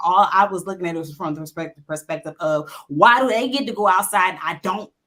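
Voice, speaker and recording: A fairly quick woman's voice with an Alabama accent and ordinary pitch variation. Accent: Southern US (Alabama). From US South, Montgomery, Alabama. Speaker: panelist. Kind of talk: panel discussion.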